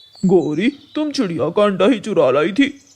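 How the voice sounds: A man puts on a cartoonish character voice at a high pitch, speaking at a moderate pace.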